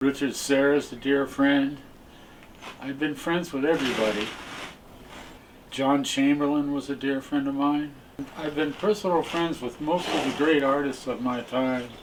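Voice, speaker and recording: This man, with an American accent, has a fairly high pitch and a moderate pace. His intonation is fairly even, he takes long, frequent pauses, and there is noticeable background noise. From California. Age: 80s+. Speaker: abstract painter. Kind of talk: interview reminiscence. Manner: halting with repetitions.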